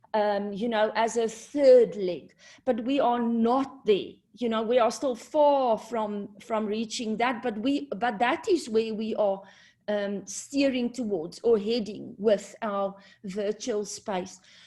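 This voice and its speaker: A woman with a non-native accent speaks at a very slow pace against a quiet background. Her tone is dark and mellow, and her pitch varies in an ordinary way. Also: fairly high pitch for a woman. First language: not English. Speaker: university community engagement presenter. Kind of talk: presentation at online launch event. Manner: hesitant, many fillers.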